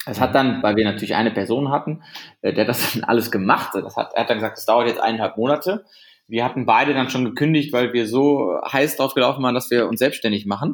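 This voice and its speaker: A man with a medium pitch talks at a very fast pace and ordinary pitch variation. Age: 20s. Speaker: company founder. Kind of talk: interview. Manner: halting.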